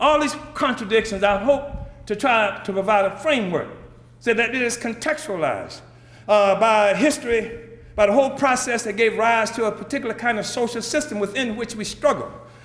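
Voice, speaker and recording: A man speaks at an extremely high pitch for a man, with ordinary pitch variation. Room echo is audible. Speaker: political leader. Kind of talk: speech. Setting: conference stage with audience. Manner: fast; animated.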